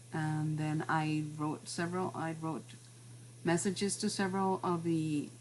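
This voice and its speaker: A woman speaks with a very deep, low pitch and a Spanish accent. Her voice has vocal fry and ordinary pitch variation. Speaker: class teacher and professional translator. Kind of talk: online class presentation. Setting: video call, at home. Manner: halting, many fillers and repetitions.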